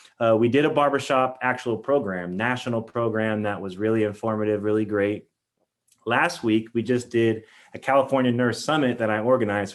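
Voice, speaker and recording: Fairly even intonation runs through speech delivered at a fairly quick clip. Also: man. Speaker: nurse leader, keynote speaker. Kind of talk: keynote talk. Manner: fast.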